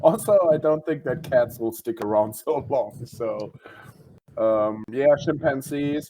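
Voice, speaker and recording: A man with a German accent speaks at a very slow pace. His fairly high-pitched voice has a dark, mellow tone and ordinary pitch variation. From Germany. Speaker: comedian. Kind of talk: casual chat.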